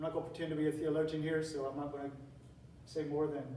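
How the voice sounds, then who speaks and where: A man with an American accent speaks at a fairly high pitch. Audible room echo and noticeable background noise surround his voice. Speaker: teacher giving a talk on classical education. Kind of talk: lecture. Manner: conversational, with repetitions and fillers.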